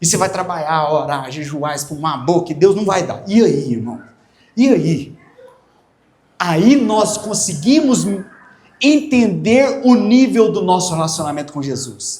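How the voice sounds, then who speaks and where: In a room with audible echo, a man with a high pitch speaks fairly slowly in an animated tone, his pitch swinging very widely, with long, frequent pauses. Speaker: pastor. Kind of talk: sermon.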